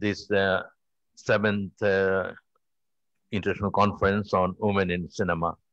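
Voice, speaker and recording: A man's fairly low pitch at a moderate pace, monotone and flat, dry with no echo against a quiet background. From Bangladesh. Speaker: cultural activist, session chair; conference chair or moderator. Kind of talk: closing address. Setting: auditorium with audience. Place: hall. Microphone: podium.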